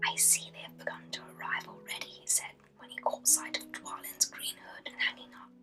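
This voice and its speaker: A woman whispers in a British accent at a fairly quick clip with hardly any pauses, her loudness swinging widely over noticeable background noise. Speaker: ASMR creator. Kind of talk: reading aloud. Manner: whispered; soft-spoken.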